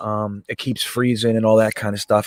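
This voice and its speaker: The sound is dry and close, with no echo. A man speaks in an American accent. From northeast New Jersey. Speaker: sports fan channel host. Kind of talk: casual live game-watching chat. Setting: live stream from home.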